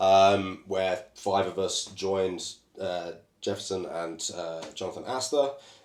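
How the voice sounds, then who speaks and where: The speaker talks at a fairly slow pace in a British accent, with ordinary pitch variation. Room echo is audible. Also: man, very deep, low pitch for a man. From Britain. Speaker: comedian and comedy club owner. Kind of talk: casual chat.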